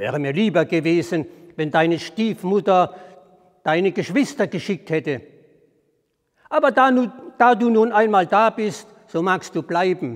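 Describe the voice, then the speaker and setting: A man with a high pitch speaks in a warm tone with lively intonation, at a fairly slow pace. Long, frequent pauses break his speech against a quiet background. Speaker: storyteller. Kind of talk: fairy tale storytelling. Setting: outdoors at a historic well. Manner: measured, formal storyteller's cadence, calm and deliberate; warm, inviting address to the audience. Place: church. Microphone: lapel.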